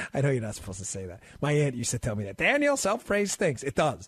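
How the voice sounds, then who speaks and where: Over a quiet background, a man with an American accent talks very fast in a fairly high, somewhat breathy voice with very wide pitch swings. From US Northeast, New York and Maryland. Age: 40s. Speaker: guest radio host. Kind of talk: talk radio.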